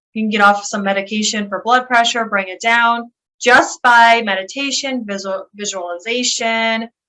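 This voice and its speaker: Speaking with a Western New York accent, a woman uses a fairly high pitch, a bright, sharp tone, fairly even intonation and a fairly slow pace. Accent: Western New York American. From Buffalo, New York, USA. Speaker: occupational therapist and health coach. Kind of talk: interview answer.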